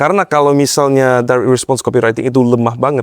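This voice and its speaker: A man with a slight Western accent at a fairly quick pace. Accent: slight foreign (Western) accent in Indonesian. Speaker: e-commerce marketing consultant. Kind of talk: podcast interview. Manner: code-switching Indonesian and English.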